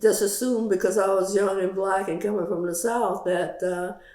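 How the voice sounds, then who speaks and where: A woman talks with fairly even intonation. Noticeable background noise runs under her voice. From Louisiana, USA. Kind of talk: interview answer.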